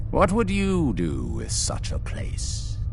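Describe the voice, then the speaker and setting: Against loud background noise, a man puts on a character voice and talks at a fairly slow pace. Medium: machinima. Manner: preachy, solemn.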